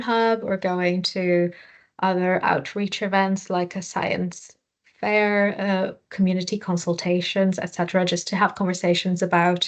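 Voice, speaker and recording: A woman with a Portuguese accent talks at a moderate pace against a quiet background. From Portugal. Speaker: charity worker. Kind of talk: interview answers.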